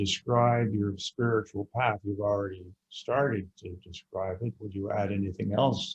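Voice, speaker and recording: A man with a fairly low, somewhat breathy voice talks at a fairly slow pace with fairly even intonation, in a dry, close sound with no echo. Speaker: podcast host. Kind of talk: interview question.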